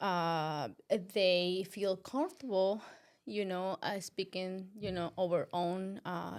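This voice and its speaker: Speaking at a very slow pace, a woman with a non-native accent keeps a medium pitch and fairly even intonation. The recording is very clean with a silent background. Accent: foreign. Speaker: podcast co-host. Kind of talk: casual chat. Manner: halting.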